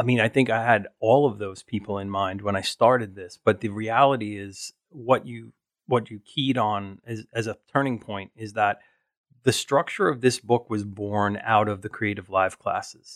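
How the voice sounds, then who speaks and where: In an American accent, this speaker has an ordinary speaking voice with fairly even intonation, a moderate pace and big swings in loudness, on a very clean recording with a silent background and a dry, close sound with no echo. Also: man, fairly low pitch for a man. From New York, Staten Island. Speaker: food photographer. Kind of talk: interview.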